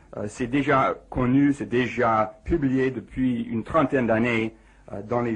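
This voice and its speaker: Very slowly, a man with an English accent speaks at a medium pitch with fairly even intonation. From United States. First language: English (speaking French). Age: 40s. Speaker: physicist. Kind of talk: radio interview. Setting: radio studio. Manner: halting.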